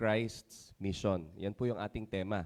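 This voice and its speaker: The man's voice sits at a fairly low pitch. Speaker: pastor. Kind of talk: sermon. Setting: church service. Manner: halting with fillers.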